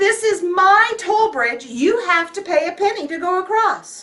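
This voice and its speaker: A woman growls in a put-on character voice at an extremely high pitch. She projects it loudly at a moderate pace. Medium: read story. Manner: snarling, childish.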